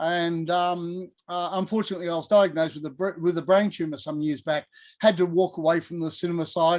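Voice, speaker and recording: Here a man talks at a fairly quick pace. His pitch is high and his intonation monotone and flat. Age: 60s. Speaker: distiller. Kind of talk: interview on live tasting. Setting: video call.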